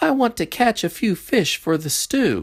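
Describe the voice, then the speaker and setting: A put-on character voice with fairly high pitch moves at a moderate pace on a very clean recording with a silent background. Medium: read story. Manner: eager.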